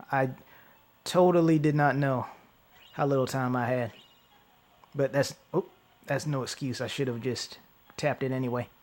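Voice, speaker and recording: A man's medium-pitched voice with fairly even intonation and long, frequent pauses, over music in the background. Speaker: gaming YouTuber. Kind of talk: gameplay commentary. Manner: fast; stumbling over words.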